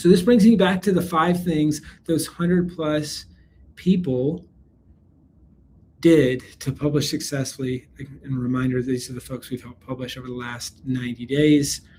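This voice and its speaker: Fairly high for a man and somewhat breathy, a dark, mellow tone with an American accent, ordinary pitch variation and big swings in loudness. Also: moderate pace. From US South, South Carolina. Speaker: business webinar presenter, company CEO. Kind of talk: live webinar sales pitch. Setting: live online training. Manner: energetic, upbeat.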